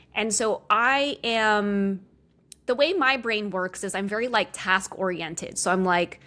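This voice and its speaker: A woman speaks very slowly in a fairly high, bright and sharp voice with ordinary pitch variation, on a very clean recording with a silent background. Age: 30s. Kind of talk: interview. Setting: podcast interview. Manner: uses many filler words.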